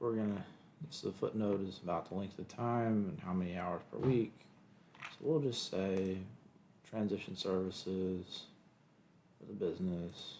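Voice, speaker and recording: Man with a Kentucky accent, fairly low pitch, dark, mellow tone, ordinary pitch variation, big swings in loudness, moderate pace and long, frequent pauses. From Kentucky, US. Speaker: lawyer. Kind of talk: tutorial. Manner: casual, thinking aloud.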